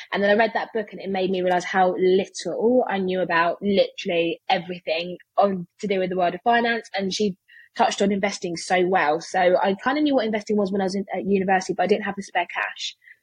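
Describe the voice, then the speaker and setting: The voice races along at a very fast pace in a British accent. It sounds somewhat breathy, with fairly even intonation. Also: woman, medium pitch for a woman. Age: 20s. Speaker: personal finance content creator. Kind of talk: interview.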